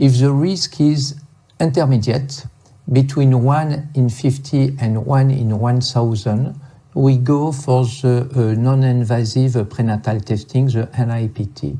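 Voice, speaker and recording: A man with a medium-pitched, somewhat breathy voice and a dark, mellow tone talks at a fairly slow pace with fairly even intonation. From France. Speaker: medical lecturer on fetal ultrasound. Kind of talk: lecture. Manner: halting.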